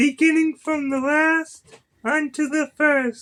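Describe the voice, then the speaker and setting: A man puts on a squeaky character voice, pitched extremely high and spoken at a very slow pace. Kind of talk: King James Bible reading. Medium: solo performance. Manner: measured, occasionally stumbling and self-correcting.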